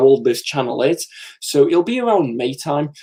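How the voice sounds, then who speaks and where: Ordinary pitch variation from a man with a fairly high voice, at a moderate pace. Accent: English. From England. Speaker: comics YouTuber. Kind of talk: live stream chat. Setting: live stream from comic room. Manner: casual, chatty with fillers.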